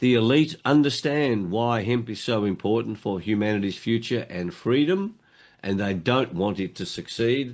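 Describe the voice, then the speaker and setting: Lively intonation marks this man's speech at a moderate pace and medium pitch. The background is quiet. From Australia. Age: 70s. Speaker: motivational speaker and hemp advocate. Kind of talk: interview.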